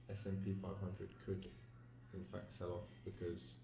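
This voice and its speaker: Over background music and audible room echo, a man speaks quietly at a fairly slow pace, his very deep, low voice carrying lively intonation. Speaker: forex trader streamer. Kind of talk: live trading stream commentary. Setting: live stream. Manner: quiet, low energy. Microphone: mic moved closer; audio was quiet.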